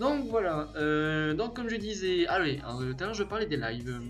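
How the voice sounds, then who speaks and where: Music plays in the background as a man speaks. His fairly high voice has lively intonation. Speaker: gamer YouTuber. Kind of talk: casual talk to camera. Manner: hesitant, stumbling.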